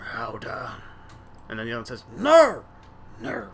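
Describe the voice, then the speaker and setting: Put-on character voice, raspy, delivered at a moderate pace. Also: man. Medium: actual play. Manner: whispering, hurried.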